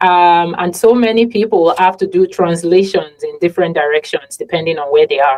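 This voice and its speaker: Speaking in a Yoruba accent, a woman keeps a moderate pace with hardly any pauses, a fairly low pitch and ordinary pitch variation. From Nigeria. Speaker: podcast host. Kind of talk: casual interview conversation.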